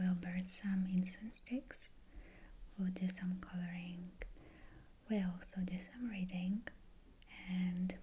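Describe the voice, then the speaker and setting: Very slowly and softly, a woman talks in a calm, gentle, dark and mellow tone that is somewhat breathy, with monotone, flat intonation and long, frequent pauses. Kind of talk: ASMR video, soft-spoken talk to camera. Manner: soft-spoken, calm, gentle.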